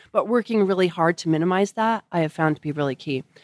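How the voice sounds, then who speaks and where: With an American accent and an unremarkable speaking voice, a woman talks at a fairly low pitch with ordinary pitch variation. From Colorado. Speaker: nonprofit executive. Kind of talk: interview. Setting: in person.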